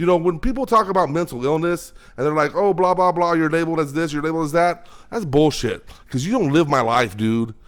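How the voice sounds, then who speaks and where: A man's fairly high, animated voice at a very fast pace, full of lively intonation. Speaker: podcast host. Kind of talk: casual monologue. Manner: repetitive stammering.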